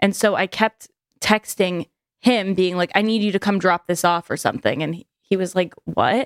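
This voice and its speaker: This woman has a normal speaking voice at a medium pitch, moving at a moderate pace with fairly even intonation. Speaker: podcast co-host. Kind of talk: casual chat. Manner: casual, talks over partner.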